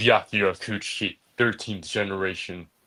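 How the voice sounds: A man puts on a character voice at a fairly low pitch. He speaks at a fairly slow pace.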